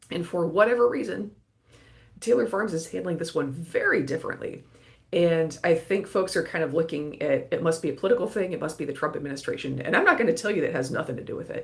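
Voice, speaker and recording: Putting on a raspy character voice, a man talks very fast in a high pitch for a man, his intonation lively. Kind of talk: informal explanatory commentary.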